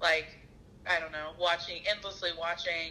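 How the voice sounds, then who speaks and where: A Southern US accent amid noticeable background noise. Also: woman. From US South, Arkansas. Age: 30s. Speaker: therapist. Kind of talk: casual chat.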